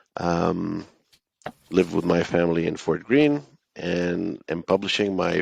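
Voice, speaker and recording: A man speaks with an Israeli accent at a very deep, low pitch. The sound is dry and close, with no echo. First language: Hebrew. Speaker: author and entrepreneur. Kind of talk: interview. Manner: hesitant, many fillers.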